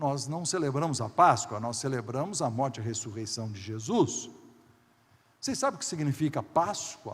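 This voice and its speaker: A somewhat breathy voice speaks at a moderate pace. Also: man. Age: 60s. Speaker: pastor. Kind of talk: sermon.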